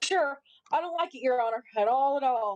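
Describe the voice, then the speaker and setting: A woman does a put-on character voice with a high pitch and lively intonation. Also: dry, close sound with no echo. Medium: stage play. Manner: deferential, saying 'Your Honor'.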